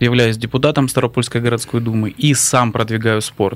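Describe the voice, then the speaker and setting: A man with a plain, everyday voice speaks at a moderate pace. His pitch is medium and his intonation fairly even. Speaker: city council member and athlete. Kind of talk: radio talk show discussion. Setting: studio.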